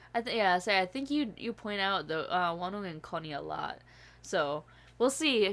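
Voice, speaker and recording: Speaking at a moderate pace in an American accent, a woman's voice moves through very wide pitch swings in a very clean recording with a silent background. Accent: occasional Southern accent slips. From upstate New York. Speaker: YouTube reaction channel host. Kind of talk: casual chat; channel promo. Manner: animated.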